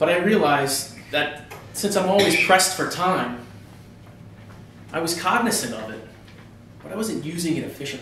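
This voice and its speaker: Using an American accent, a man speaks high in pitch with lively intonation, big swings in loudness and long, frequent pauses, with audible room echo around him. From New York. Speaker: public speaker. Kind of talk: prepared speech. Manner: fast.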